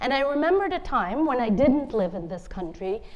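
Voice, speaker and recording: A woman with a Bengali accent speaks amid audible room echo. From India (Bengali), then Cambridge, Massachusetts from age 10. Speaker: author. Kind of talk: conference talk.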